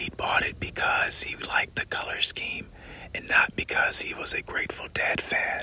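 The voice is whispering, with noticeable background noise behind it. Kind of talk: ASMR audiobook reading of a novel excerpt. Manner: slow, hushed, soft-spoken, intimate; measured, suspenseful, dramatic narration.

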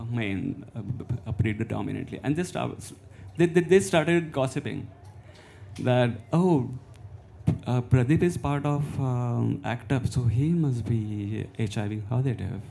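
A man with an Indian accent speaks at a very slow pace and a medium pitch. His tone is dark and mellow, with lively intonation. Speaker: visual artist and community organiser. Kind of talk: panel discussion. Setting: stage with audience. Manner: halting.

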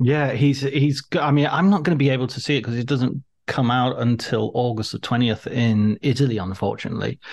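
With an English accent, a man speaks at a fairly quick pace and medium pitch. He leaves hardly any pauses and uses ordinary pitch variation. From England. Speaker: podcast host. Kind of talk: interview.

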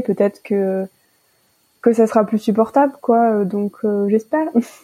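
At a fairly slow pace, a woman speaks at a medium pitch with a dark, mellow tone. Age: 20s. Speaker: student sharing personal health story. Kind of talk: interview testimony. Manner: hesitant, many fillers.

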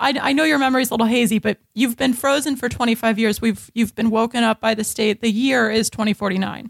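In a dry, close sound with no echo, a woman with a fairly high pitch talks at a very fast pace with hardly any pauses. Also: fairly even intonation. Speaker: comedian. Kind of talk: comedic improv banter.

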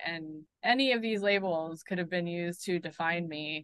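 A woman has an unremarkable speaking voice at medium pitch. She talks at a moderate pace with fairly even intonation. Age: 30s. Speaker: mental health advocate. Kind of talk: casual interview.

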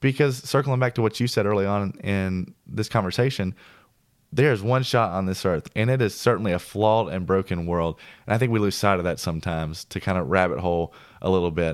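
In a very clean recording with a silent background, a man with an American accent speaks at a fairly quick pace. He has a normal speaking voice, fairly low in pitch, with ordinary pitch variation. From US South, Tennessee (Nashville area). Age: 20s. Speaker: industrial engineer. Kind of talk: casual chat, personal testimony. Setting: in person, Nashville.

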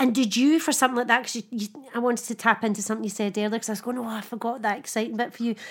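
A woman talks at a very fast pace and fairly high pitch. Noticeable background noise runs underneath. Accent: Scottish. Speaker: podcast host. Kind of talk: casual chat. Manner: animated.

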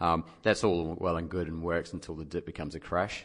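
With a New Zealand accent, a man speaks at a very deep, low pitch. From New Zealand, dairy farming background. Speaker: investment professional. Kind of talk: casual chat. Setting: studio.

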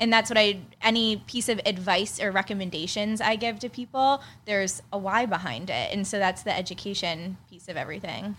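A woman with an American accent uses a normal speaking voice at a medium pitch and a fairly quick pace, with ordinary pitch variation and big swings in loudness, on a very clean recording with a silent background. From Pittsburgh, Pennsylvania. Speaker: skincare entrepreneur. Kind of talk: casual interview chat. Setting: studio, in person.

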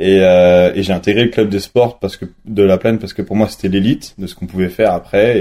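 This man's tone is dark and mellow. His pitch varies in an ordinary way. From France, Nantes then La Plagne (Savoie). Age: 20s. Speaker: freestyle skier. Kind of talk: interview. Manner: halting, with many fillers.

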